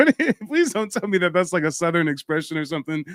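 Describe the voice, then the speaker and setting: With an American accent, a man speaks in an animated tone with very wide pitch swings, the sound dry and close with no echo. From US West Coast. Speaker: livestream host and genealogy educator. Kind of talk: live call-in stream.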